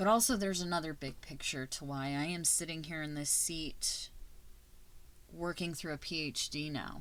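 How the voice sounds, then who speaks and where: Audible room echo surrounds a woman whose very deep, low voice has a bright, sharp tone. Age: 30s. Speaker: podcast host and teacher. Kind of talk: casual personal monologue. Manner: animated.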